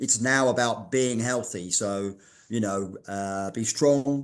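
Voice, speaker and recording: Speaking very slowly in a London accent, a man holds a medium pitch with ordinary pitch variation. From London, England. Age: 60s. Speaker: fitness writer and masters athlete. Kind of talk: podcast interview. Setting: in his daughter's art gallery.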